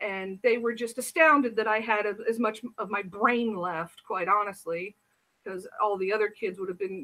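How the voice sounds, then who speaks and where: A woman with an American accent speaks at a fairly high pitch with ordinary pitch variation. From US Midwest, Indiana. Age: 40s. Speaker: reform school survivor; interviewee. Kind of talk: interview. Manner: halting; passionate. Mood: serious, recounting painful past. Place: home room. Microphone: webcam.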